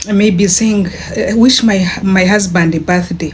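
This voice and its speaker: Speaking at a very slow pace, a woman with a medium-pitched voice is heard over noticeable background noise. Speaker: online business vlogger. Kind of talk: casual vlog talk. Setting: bedroom. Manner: animated; halting.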